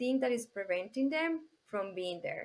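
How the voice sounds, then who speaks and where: At a fairly slow pace, a woman speaks in a high voice with a non-native accent. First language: Spanish. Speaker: business coach. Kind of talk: podcast interview. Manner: halting.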